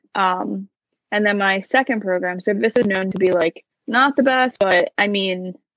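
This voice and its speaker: In a dry, close sound with no echo, a woman with a New Jersey accent speaks at a medium pitch with ordinary pitch variation. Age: 20s. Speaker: former theme park worker. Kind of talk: casual chat.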